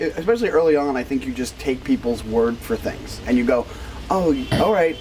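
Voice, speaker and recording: With music in the background, a man talks at a fairly quick pace in a fairly high voice. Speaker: comedian. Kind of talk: casual interview questions. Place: bar. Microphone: lapel.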